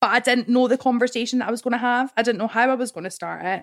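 A woman with a Scottish accent speaks at a fairly high pitch in a very clean recording with a silent background. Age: 20s. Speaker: woman with cancer gene sharing her experience. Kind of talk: interview testimony.

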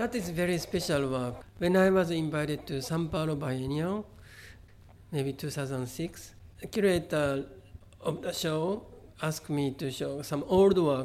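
A man with a Japanese accent speaks at a fairly high pitch and a fairly slow pace, with ordinary pitch variation and long, frequent pauses. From Japan, Kobe. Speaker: artist. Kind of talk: interview. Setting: exhibition venue. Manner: halting.

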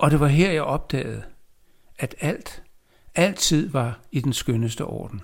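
Vocal fry colors this man's fairly high-pitched voice, which has lively intonation. He speaks at a very slow pace, with long, frequent pauses. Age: 70s. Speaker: poet. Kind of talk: reading aloud.

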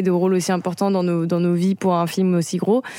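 A woman speaks at a medium pitch. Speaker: actress. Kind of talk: casual chat. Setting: studio.

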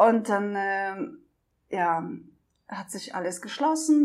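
Very slow speech from a woman in a Russian accent, with lively intonation. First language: Russian (speaking German). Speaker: documentary filmmaker and traveling single mother. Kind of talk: interview. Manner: hesitant with many fillers.

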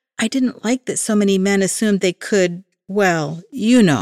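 An ordinary speaking voice with ordinary pitch variation comes through dry and close with no echo, on a very clean recording with a silent background. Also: woman. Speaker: horror author. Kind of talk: reading aloud.

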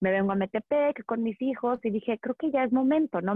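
Here a woman has an unremarkable speaking voice at a fairly high pitch. She keeps a moderate pace. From Mexico, Monterrey. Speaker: urban gardening and plant expert. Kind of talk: interview.

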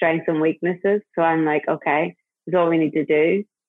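A woman with an Irish accent, fairly low in pitch, in a monotone, flat intonation. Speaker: hair stylist and brand founder. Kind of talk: casual interview.

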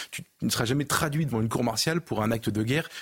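A very fast, somewhat breathy male voice with ordinary pitch variation. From Paris region, France. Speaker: journalist, newspaper editor. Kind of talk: televised debate.

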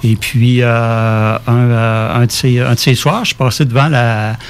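Noticeable background noise sits behind speech whose intonation is fairly even. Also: man. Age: 50s. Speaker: musician and composer. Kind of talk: casual interview.

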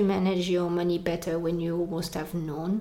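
A woman speaks with a French accent. Her tone is dark and mellow. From France. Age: 30s. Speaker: immigrant sharing her experience. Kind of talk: casual interview chat.

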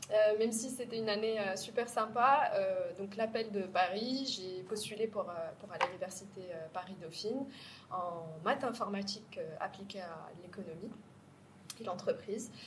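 A woman speaks at a fairly slow pace in a fairly high pitch with ordinary pitch variation, a plain, everyday voice. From Morocco, Casablanca. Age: 30s. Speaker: startup co-founder. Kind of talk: interview.

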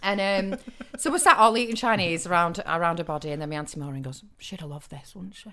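Talking very fast at a fairly low pitch, a woman swings widely in loudness over noticeable background noise. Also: lively intonation. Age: 30s. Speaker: actor and comedy writer. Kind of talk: casual chat.

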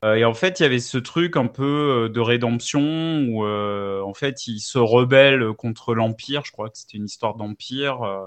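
A man speaks at a fairly slow pace. He uses a normal speaking voice. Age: 40s. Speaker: video game enthusiast. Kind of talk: casual chat.

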